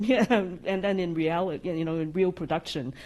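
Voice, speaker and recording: A woman speaks at a medium pitch with a slight non-native accent. The background is quiet. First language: not English. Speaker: AI practice lead. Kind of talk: podcast interview. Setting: live audience. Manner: occasional stutters.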